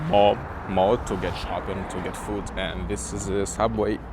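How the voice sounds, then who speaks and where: Lively intonation at a fairly slow pace, with noticeable background noise. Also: man. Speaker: college student. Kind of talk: casual vlog talk to camera.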